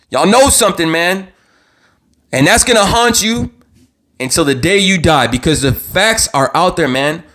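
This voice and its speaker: A man shouts loudly with very wide pitch swings at a moderate pace. Long pauses come often. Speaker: true crime YouTuber. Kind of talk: live stream commentary. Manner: loud, yelling; animated, repetitive stammering.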